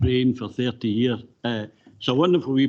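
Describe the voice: Fairly even intonation carries this plain reading aloud.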